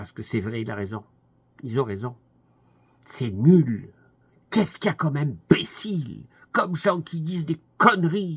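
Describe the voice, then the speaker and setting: A man speaks with long, frequent pauses and very wide swings in pitch. His voice is fairly high and somewhat breathy. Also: big swings in loudness. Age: 80s+. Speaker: commentator. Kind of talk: monologue. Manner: halting.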